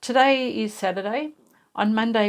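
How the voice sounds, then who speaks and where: With an Australian accent, a woman speaks at a fairly slow pace and ordinary pitch variation. The recording is very clean, with a silent background. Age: 60s. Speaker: sewing YouTuber, cancer patient. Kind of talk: personal vlog, casual talk to camera. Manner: conversational, with hesitations.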